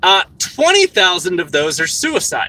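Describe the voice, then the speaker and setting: Raised and projected, a man's voice in an American accent moves at a moderate pace with very wide pitch swings. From US. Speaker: streamer. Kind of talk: livestream commentary. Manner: animated.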